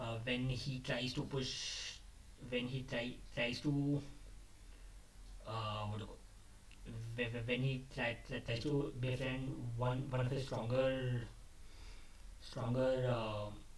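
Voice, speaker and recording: A man's somewhat breathy, medium-pitched voice, monotone and flat, at a very slow pace with long, frequent pauses. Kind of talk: casual talk to camera. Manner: unscripted, halting.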